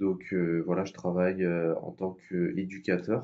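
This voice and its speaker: Against a quiet background, a man speaks at a fairly slow pace with a very deep, low pitch and a dark, mellow tone. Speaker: youtuber. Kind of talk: vlog monologue. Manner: hesitant, many fillers.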